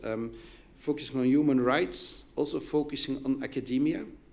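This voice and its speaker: A man's medium-pitched voice with a Flemish accent, at a fairly quick pace, with audible room echo. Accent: Flemish Dutch accent in English. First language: Dutch. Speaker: academic researcher. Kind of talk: conference presentation. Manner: halting, many fillers and restarts.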